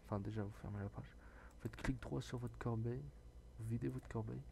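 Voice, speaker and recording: A man speaks softly at a moderate pace, his fairly low voice dark and mellow with a somewhat breathy quality. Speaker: gaming tech youtuber. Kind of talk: tutorial. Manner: soft-spoken.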